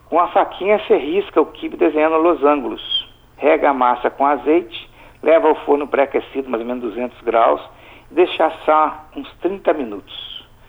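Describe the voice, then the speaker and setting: A man talks in an ordinary speaking voice with a fairly high pitch. His pace is moderate and his pitch variation ordinary. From Brazil, Espírito Santo (Alegre, south of the state). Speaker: chef. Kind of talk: recipe tutorial in radio chat.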